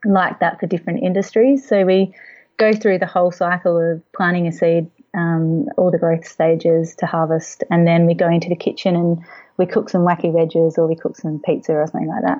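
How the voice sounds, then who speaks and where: The speaker, with an Australian accent, talks at a moderate pace with ordinary pitch variation. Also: woman. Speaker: children's book author and agricultural educator. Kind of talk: interview.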